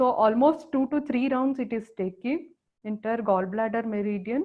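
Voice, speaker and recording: This woman has an unremarkable speaking voice at a fairly high pitch. She talks at a moderate pace with ordinary pitch variation. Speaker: acupressure teacher. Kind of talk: lecture.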